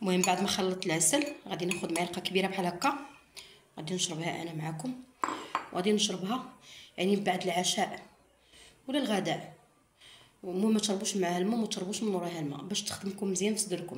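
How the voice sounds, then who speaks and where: A woman with a Moroccan accent speaks at a medium pitch, leaving long, frequent pauses, with noticeable background noise and audible room echo. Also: ordinary pitch variation, fairly quick pace. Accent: Moroccan Arabic (Darija). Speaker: cooking and home remedy vlogger. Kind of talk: tutorial. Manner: halting, self-correcting.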